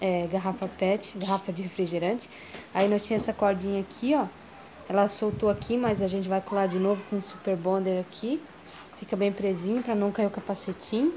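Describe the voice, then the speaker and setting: Light background noise sits behind a woman speaking at a fairly quick pace. Her intonation is fairly even. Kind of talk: casual vlog chat. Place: street. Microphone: phone near.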